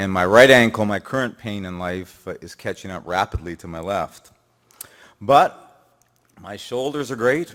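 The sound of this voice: At a fairly slow pace with long, frequent pauses, a man talks in a fairly low voice with a fairly bright tone.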